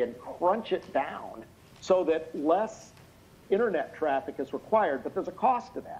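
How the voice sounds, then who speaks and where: A man talks loudly at a moderate pace in a high pitch. His intonation is lively. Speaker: expert witness. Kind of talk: testimony. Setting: video call. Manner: halting.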